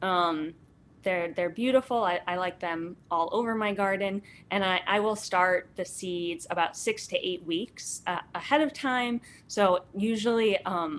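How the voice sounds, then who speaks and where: A woman with a plain, everyday voice, a fairly slow pace and ordinary pitch variation. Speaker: gardening instructor. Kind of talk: online workshop lecture.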